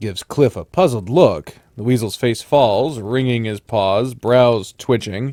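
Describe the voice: Ordinary pitch variation in plain reading aloud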